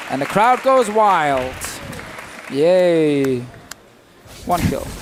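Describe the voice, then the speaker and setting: A man speaks at a very slow pace, his high pitch moving in very wide swings. Crowd noise and audible room echo surround him. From Denmark. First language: Danish. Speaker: esports commentator. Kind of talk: live commentary.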